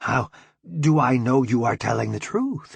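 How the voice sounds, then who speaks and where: Putting on a character voice, a man speaks at a medium pitch and a moderate pace. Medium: read story. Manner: simple broken English.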